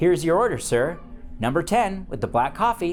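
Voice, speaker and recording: A man's strained, high-pitched, put-on character voice, with very wide pitch swings, a moderate pace and clear background noise. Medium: read story. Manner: polite, restrained.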